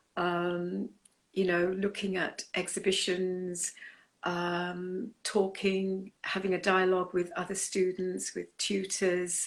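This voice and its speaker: Someone speaks very slowly in a British accent with monotone, flat intonation. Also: woman. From England, came from Punjab, India at nine. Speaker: artist. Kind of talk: interview.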